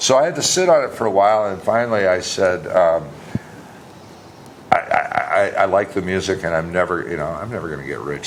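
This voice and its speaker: A man with an American accent speaks at a moderate pace with lively intonation and a fairly low pitch. Noticeable background noise is present. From Wisconsin, US Midwest. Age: 60s. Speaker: singer-songwriter. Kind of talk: casual interview chat.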